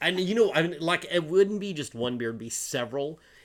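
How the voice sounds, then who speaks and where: In a Southern US accent, a man talks very fast with lively intonation. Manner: casual, rambling, lots of fillers.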